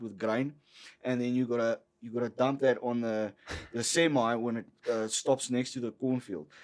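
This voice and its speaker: A man with a South African accent. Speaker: entrepreneur. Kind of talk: casual chat. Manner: animated.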